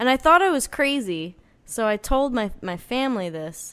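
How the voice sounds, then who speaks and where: A woman with an American accent and a plain, everyday voice speaks at a fairly slow pace with lively intonation on a very clean recording with a silent background. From northern New Jersey. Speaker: singer-songwriter. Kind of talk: casual chat.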